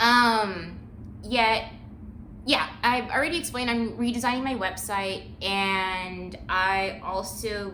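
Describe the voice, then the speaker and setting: Against noticeable background noise and audible room echo, a woman's fairly high voice shows ordinary pitch variation. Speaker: channel owner and small business creator. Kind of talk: casual vlog update. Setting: at home with dog. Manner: rambling, filler-heavy.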